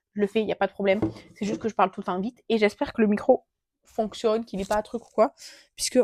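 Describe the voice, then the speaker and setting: A woman talks at a fairly quick pace in a fairly high pitch. Her intonation is fairly even, and the sound is dry and close with no echo. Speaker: beauty vlogger. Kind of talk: casual product review vlog. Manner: fast; hesitant, many filler sounds. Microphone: new gifted mic, unsure if working.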